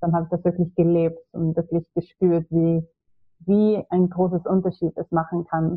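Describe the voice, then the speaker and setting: A woman talks at a moderate pace in a fairly low pitch, her intonation monotone and flat. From Sweden. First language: Swedish (speaking German). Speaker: ayurveda practitioner. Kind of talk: podcast interview.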